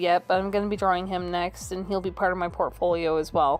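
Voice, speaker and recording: Music in the background behind a woman's flat, monotone delivery. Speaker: artist and video creator. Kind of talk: casual narration over speed paint. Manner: hesitant, many fillers.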